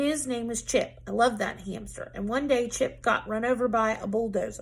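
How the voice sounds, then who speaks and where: A raspy, gruff put-on character voice delivered at a moderate pace. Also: woman, fairly high pitch for a woman. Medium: read story. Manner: barking, gruff.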